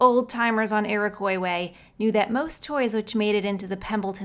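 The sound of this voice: This is an unforced reading voice. It carries the words as written.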